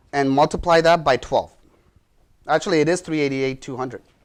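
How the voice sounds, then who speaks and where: This is a man speaking. He talks at a fairly quick pace. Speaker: real estate instructor. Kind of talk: lecture. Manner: fast.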